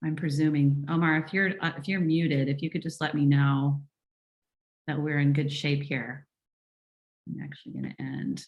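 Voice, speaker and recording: A woman with a very deep, low pitch, fairly even intonation and long, frequent pauses. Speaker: functional medicine physician. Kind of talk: webinar presentation. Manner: fast.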